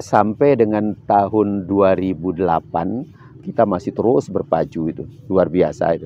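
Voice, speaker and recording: A man with a fairly low pitch speaks in an unremarkable speaking voice at a moderate pace with ordinary pitch variation. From Sumbawa, Indonesia. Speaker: cultural expert and choreographer. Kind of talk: interview.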